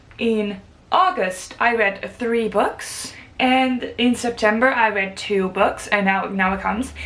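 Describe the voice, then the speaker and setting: A woman talks very slowly while noticeable noise fills the background. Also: fairly high pitch for a woman, ordinary pitch variation. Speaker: book vlogger. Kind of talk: casual vlog talk to camera.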